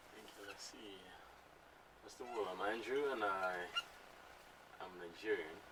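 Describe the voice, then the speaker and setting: A man with a fairly low pitch talks at a fairly slow pace with ordinary pitch variation, long and frequent pauses, big swings in loudness, and audible room echo. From Nigeria. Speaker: DJ and music curator. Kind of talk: radio interview. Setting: radio studio. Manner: halting, many fillers.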